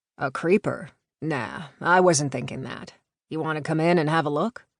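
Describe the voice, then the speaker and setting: In a raspy, put-on character voice at a middle pitch, the speaker goes at a moderate pace against a quiet background. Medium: read story. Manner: casual, playful.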